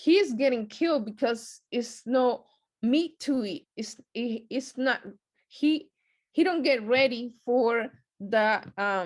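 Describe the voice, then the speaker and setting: Someone with a non-native accent speaks very slowly with lively intonation against a quiet background. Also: woman, high pitch for a woman. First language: not English. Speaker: lay Bible study teacher. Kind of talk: short sermon at prayer meeting. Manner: hesitant, many fillers.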